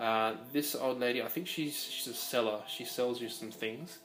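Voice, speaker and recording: Amid noticeable background noise and audible room echo, a man with an Australian accent speaks at a medium pitch and a moderate pace. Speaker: video game presenter. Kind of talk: gameplay commentary voice-over. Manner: hesitant, many fillers.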